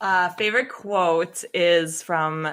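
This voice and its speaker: Speaking with a slight Buffalo accent and ordinary pitch variation, the voice comes through on a very clean recording with a silent background. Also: woman. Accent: Buffalo accent, slight, shows on some vowels. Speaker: podcast guest, co-host of another podcast. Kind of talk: casual chat.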